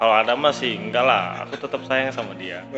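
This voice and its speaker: Music plays behind a man with a North Sumatran accent speaking at a medium pitch and a fairly quick pace, with lively intonation. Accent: Batak. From Batak Indonesian.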